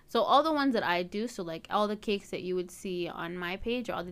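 A woman with a Canadian accent at a medium pitch, ordinary pitch variation, an ordinary speaking voice, and a very clean recording with a silent background. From Canada, Edmonton. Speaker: university student and home cake baker. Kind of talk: casual interview.

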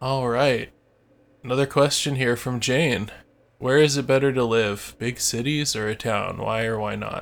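An unremarkable speaking voice from a man at medium pitch, moderate pace and fairly even intonation, on a very clean recording with a silent background. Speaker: podcast co-host, English practice chat. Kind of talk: casual chat, answering listener questions.

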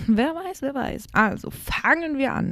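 With a dark, mellow tone and a somewhat breathy quality, a woman speaks at a fairly slow pace with lively intonation in a dry, close sound with no echo. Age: 20s. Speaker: podcaster. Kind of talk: solo monologue. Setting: at home desk. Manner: casual, many fillers.

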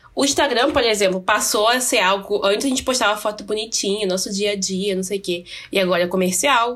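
A woman speaks at a fairly quick pace in a normal speaking voice. Her pitch is medium, with ordinary variation. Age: 20s. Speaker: podcast co-host. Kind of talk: casual chat.

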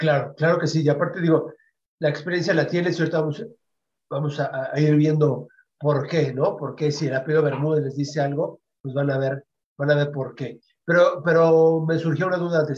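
Somewhat breathy male voice with monotone, flat intonation. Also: fairly high pitch for a man, moderate pace. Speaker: internet radio host. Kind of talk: interview.

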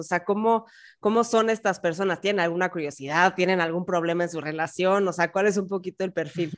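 Speaking in a Mexican accent, a woman keeps a fairly quick pace at a medium pitch with ordinary pitch variation. The recording is very clean and the background silent. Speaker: podcast host. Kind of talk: casual chat.

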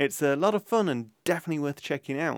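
On a very clean recording with a silent background and a dry, close sound with no echo, a man speaks at a fairly quick pace with ordinary pitch variation in a normal speaking voice. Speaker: podcast host. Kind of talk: casual vox pop interviewing and intro.

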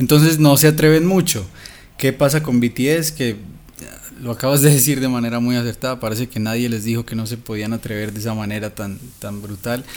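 A man speaks with a medium pitch and ordinary pitch variation. It is a plain, everyday voice. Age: 30s. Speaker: songwriter, musician and YouTuber. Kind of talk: casual chat.

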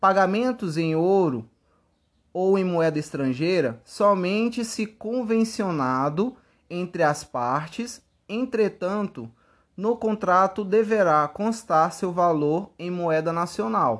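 The speech is very slow, with lively intonation. The background is quiet. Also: man, high pitch for a man. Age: 20s. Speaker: law student. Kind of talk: scripted narration. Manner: formal.

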